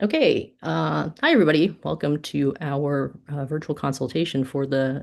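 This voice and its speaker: A woman's very deep, low voice with vocal fry and ordinary pitch variation against a quiet background. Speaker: conservation official hosting webinar. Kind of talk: webinar presentation. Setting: video call.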